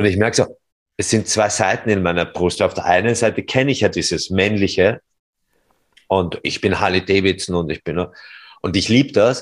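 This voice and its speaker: A man's fairly low voice at a moderate pace, broken by long, frequent pauses. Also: ordinary pitch variation, very clean recording, silent background. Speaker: podcast host, former civil engineer. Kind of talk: interview. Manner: louder when excited.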